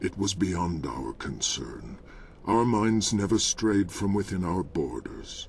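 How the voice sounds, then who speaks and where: A man in a put-on character voice, fairly low-pitched and fairly slow, over clear background noise. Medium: video game. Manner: mournful, quiet.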